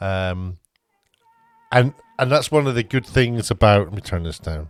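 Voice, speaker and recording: A man with a Scottish accent talks at a moderate pace in a fairly low pitch, his intonation lively. The sound is dry and close with no echo, and music plays in the background. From Scotland. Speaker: TV producer and YouTuber. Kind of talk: casual unedited opinion vlog. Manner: halting, many fillers.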